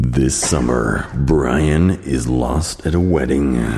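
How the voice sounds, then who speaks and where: A man's very slow put-on character voice, very deep and low in pitch. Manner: dramatic, mock-serious.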